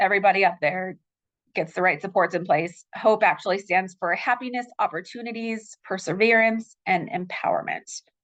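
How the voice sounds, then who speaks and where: In an American accent, a woman speaks at a moderate pace. Her pitch is medium, with ordinary variation. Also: quiet background. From Utah. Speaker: victim services case manager. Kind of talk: presentation. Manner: halting, many fillers. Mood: warm, informative. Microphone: video call.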